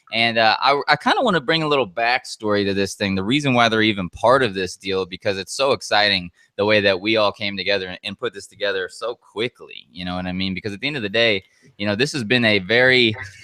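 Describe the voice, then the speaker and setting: Loud, animated and energetic, this very fast voice has a bright, sharp tone and lively intonation, with a dry, close sound and no echo. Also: man. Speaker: webinar host and online marketer. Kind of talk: live webinar sales pitch. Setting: live online broadcast. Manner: animated, energetic.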